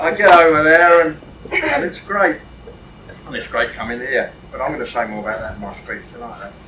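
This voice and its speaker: A man with an English accent talks at a fairly quick pace in a fairly high pitch, his intonation lively and his loudness swinging widely, with noticeable background noise behind him. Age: 70s. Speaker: wargaming author. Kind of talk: convention speech.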